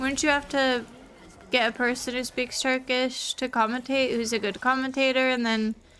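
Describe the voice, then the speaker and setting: A woman's high-pitched voice with a bright, sharp tone, fairly even intonation and a moderate pace. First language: not English. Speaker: streamer. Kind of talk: casual chat while gaming. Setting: live stream. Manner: casual, filler-heavy.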